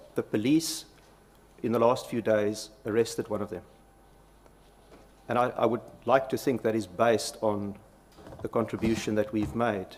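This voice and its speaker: The speech moves at a moderate pace with long, frequent pauses. It carries a South African accent and fairly even intonation. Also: man. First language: Afrikaans. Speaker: company executive testifying. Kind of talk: parliamentary committee testimony. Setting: parliamentary committee hearing. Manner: halting.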